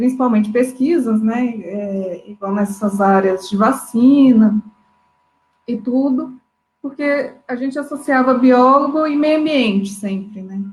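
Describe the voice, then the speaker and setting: With a rural Minas Gerais accent, a woman speaks at a very slow pace in a high pitch with ordinary variation. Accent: Minas Gerais interior. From inland Minas Gerais, Brazil. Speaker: biologist. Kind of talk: panel discussion in a live stream. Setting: online live stream.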